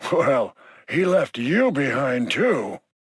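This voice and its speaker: A man's raspy, put-on character voice, fairly high in pitch with very wide pitch swings, in a dry, close sound with no echo. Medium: video game. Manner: dry, scornful.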